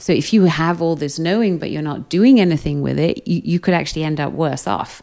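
A woman speaks with a British accent at a moderate pace. Her pitch is very deep and low, with ordinary pitch variation. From Britain, raised in Austria. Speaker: psychologist and hypnotherapist. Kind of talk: interview. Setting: recorded live in Amsterdam. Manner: calm, rhythmic.

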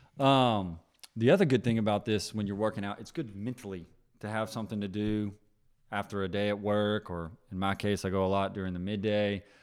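Fairly quick and with fairly even intonation, an unremarkable speaking voice carries the words. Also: man, fairly low pitch for a man, very clean recording, silent background. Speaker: podcast host. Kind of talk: casual chat.

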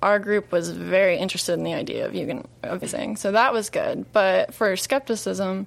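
A woman talks at a moderate pace and a medium pitch. It is an ordinary speaking voice. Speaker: chef and union organizer. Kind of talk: interview. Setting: studio.

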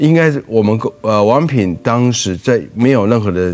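A man with a normal speaking voice has a fairly low pitch and lively intonation. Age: 60s. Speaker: restaurant group executive. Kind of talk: interview.

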